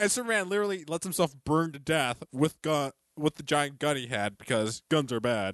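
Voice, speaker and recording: A man speaks in an ordinary speaking voice, fairly high-pitched, with lively intonation and a dry, close sound with no echo. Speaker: podcast co-host. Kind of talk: casual chat. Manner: joking, bantering.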